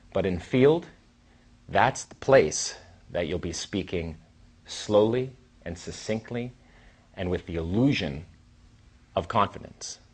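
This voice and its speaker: A man with a fairly low pitch speaks at a fairly slow pace in a somewhat breathy voice, with lively intonation, big swings in loudness and long, frequent pauses. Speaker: dating coach. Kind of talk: lecture. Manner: animated.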